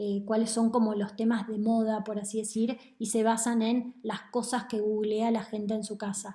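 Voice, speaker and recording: A woman speaks at a moderate pace in a fairly high voice, her intonation flat and monotone. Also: hardly any pauses. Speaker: economist. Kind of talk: lecture.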